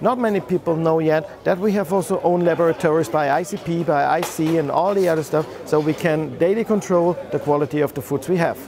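Speaking with a German accent, a man talks fairly quickly with hardly any pauses, his high voice showing ordinary pitch variation and very even loudness, in a dry sound with no echo over noticeable background noise. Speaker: company owner presenting own aquarium products. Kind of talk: product presentation video. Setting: trade show. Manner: halting, with fillers and restarts. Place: hall. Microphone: lapel.

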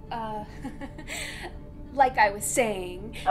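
Over loud background noise, a woman puts on a character voice pitched fairly high. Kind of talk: horror host skit.

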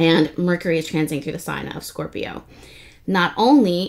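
Her pitch fairly low, a woman talks at a fairly quick pace. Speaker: astrology reader. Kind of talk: casual astrology forecast chat. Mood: warm, chatty, laughing. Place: home room. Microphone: phone near.

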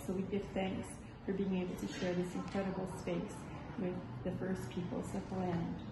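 A woman at a moderate pace amid loud background noise and audible room echo. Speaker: interfaith council host. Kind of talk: welcome address. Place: hall. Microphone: camera far.

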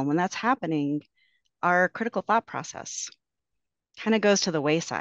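A woman speaks at a moderate pace and fairly low pitch in an unremarkable speaking voice. The sound is dry with no echo, against a quiet background. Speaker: victim services navigator; panelist. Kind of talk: panel presentation. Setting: video call. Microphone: video call.

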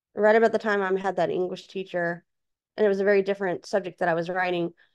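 A woman speaks with a quiet background. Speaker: author and speaker; podcast guest. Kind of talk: interview. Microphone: video call.

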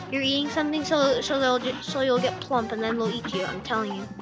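With music in the background, the voice shows ordinary pitch variation. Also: woman. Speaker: gamer. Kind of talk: gameplay commentary.

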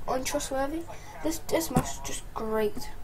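Noticeable noise sits behind this woman's voice. She talks fairly slowly, and her pitch varies in an ordinary way. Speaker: amateur product reviewer. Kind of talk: casual product review chat. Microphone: webcam.

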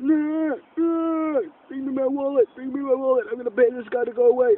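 The man adopts a put-on character voice, pitched extremely high and paced moderately. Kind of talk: casual vlog chat. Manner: cranky, demanding.

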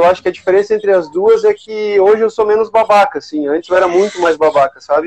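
This is a man speaking. His pitch is high. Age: 40s. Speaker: engineer and researcher; guest. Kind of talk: casual panel chat. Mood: relaxed, reflective. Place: home room. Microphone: video call.

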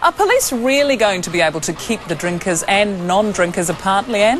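Over faint music in the background, a woman at medium pitch talks at a moderate pace with lively intonation.

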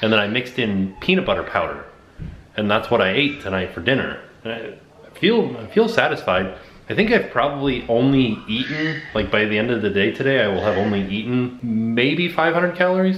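Fairly quick speech from a man, light background noise, and audible room echo. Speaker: family vlogger. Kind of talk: casual vlog chat. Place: kitchen. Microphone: phone near.

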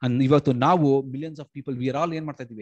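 A man is speaking. The background is quiet. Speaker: lay preacher. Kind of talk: Bible study sermon. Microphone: video call.

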